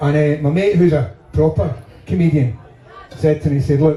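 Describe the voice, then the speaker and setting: A fairly high-pitched man with a Glaswegian accent at a moderate pace, amid noticeable background noise and audible room echo. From Scotland, Glasgow. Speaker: stand-up comedian. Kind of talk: stand-up. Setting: stage with audience.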